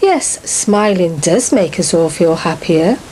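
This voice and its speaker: A woman with an English accent speaks very slowly in a fairly low voice. Noticeable background noise runs underneath. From England. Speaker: author. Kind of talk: video message.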